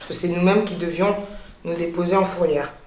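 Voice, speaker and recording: A woman talks in a fairly low voice. Noticeable background noise and audible room echo surround her. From France (Paris). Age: 30s. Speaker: business owner. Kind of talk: interview testimony. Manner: hesitant, many fillers.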